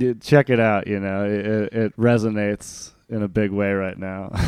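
This is an ordinary speaking voice. It keeps a moderate pace and fairly even intonation. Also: man. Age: 30s. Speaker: podcast host. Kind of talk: casual interview.

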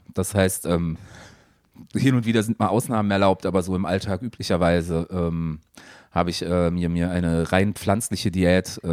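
A man speaks at a fairly slow pace, his pitch very deep and low. His intonation is fairly even, with long, frequent pauses. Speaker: podcast co-host, media producer. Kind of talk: casual chat.

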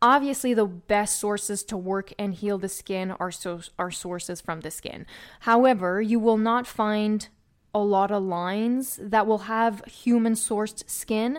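In a very clean recording with a silent background, a woman speaks at a fairly slow pace with an enthusiastic, passionate tone. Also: medium pitch for a woman. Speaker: esthetician and podcast host. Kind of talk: educational podcast monologue.

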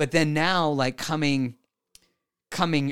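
In an American accent, a man talks in an animated tone at a fairly slow pace on a very clean recording with a silent background. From Mexican American. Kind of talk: interview.

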